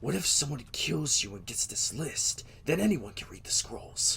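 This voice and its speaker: Over clear background noise, a man does a put-on character voice at a moderate pace. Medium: audio drama.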